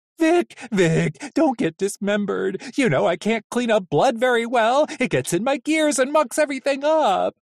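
Someone does a put-on character voice at a fairly high pitch, keeping a moderate pace with hardly any pauses. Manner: panicky, whimpering, frantic.

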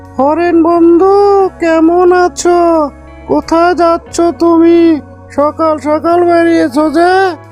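Over clear background music, a cartoonish character voice at an extremely high pitch speaks at a very slow pace.

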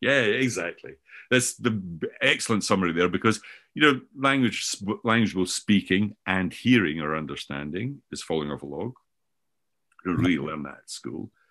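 Against a quiet background, a man with a Scottish accent speaks at a moderate pace in a very deep, low pitch with a bright, sharp tone, very wide pitch swings, big swings in loudness, and long, frequent pauses. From Scotland. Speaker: professor and author on learning; professor. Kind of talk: conversational interview discussion. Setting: remote, sitting in Scotland. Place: home room. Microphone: video call.

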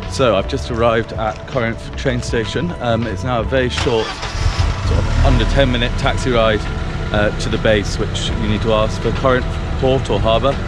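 A man at a moderate pace, dry sound with no echo, music in the background. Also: ordinary pitch variation. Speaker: travel guide for a sailing base. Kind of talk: casual vlog chat. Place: street. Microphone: phone near.

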